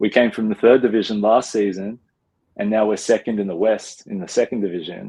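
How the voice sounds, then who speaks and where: Speaking at a fairly quick pace, the man has an Australian accent, a fairly low pitch, a dark, mellow tone, and fairly even intonation. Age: 20s. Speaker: professional basketball player. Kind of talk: interview. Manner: casual, many fillers.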